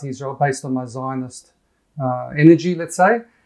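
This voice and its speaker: Over a quiet background, a man with an Australian accent talks at a fairly quick pace. His pitch is fairly high, with ordinary variation. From Perth, Western Australia. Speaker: pro-Israel website founder. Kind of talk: interview.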